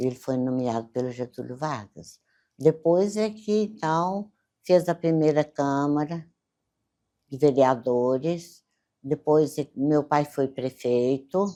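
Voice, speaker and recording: Against a quiet background, a woman speaks very slowly in a very deep, low voice, dark and mellow in tone, with lively intonation. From Brazil, Minas Gerais (Campos Altos). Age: 80s+. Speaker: elderly local resident interviewee. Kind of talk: oral history interview.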